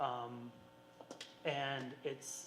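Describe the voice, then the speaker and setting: Noticeable background noise fills the recording. A man speaks over it. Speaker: school board member. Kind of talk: farewell tribute speech at public meeting. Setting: school board meeting with audience. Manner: halting, many fillers.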